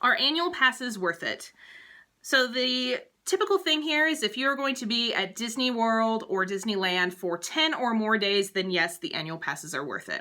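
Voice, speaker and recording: In a very clean recording with a silent background, a woman's fairly high voice makes very wide pitch swings, its tone bright and sharp. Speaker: travel agent vlogger. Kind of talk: informational vlog, Q&A tips. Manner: fast.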